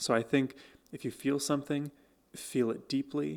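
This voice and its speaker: This man has a normal speaking voice with ordinary pitch variation at a moderate pace. The recording is very clean, with a silent background. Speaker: music reaction youtuber. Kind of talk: music reaction commentary. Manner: casual with frequent fillers.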